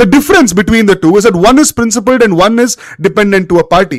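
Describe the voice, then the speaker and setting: A man with a Kannada accent, high-pitched, lively in intonation and animated in tone, at a very fast pace. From India, Bangalore (Karnataka). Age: 20s. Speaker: political commentator. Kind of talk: live-stream political monologue. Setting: live stream with chat.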